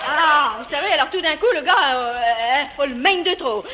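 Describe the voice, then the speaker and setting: Noticeable background noise sits behind a woman's raised, projected voice. Her pitch is high and her pace moderate. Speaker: dialect storyteller. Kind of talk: humorous dialect monologue.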